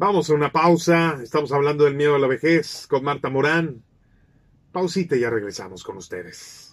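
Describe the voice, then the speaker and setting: Speaking at a moderate pace, a man uses lively intonation and a fairly high pitch in an unremarkable speaking voice. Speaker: radio host. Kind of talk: radio interview.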